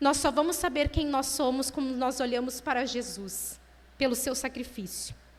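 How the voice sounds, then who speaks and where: Audible room echo surrounds a woman speaking at a moderate pace in a high pitch with fairly even intonation. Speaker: lay preacher at women's church meeting. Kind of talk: sermon.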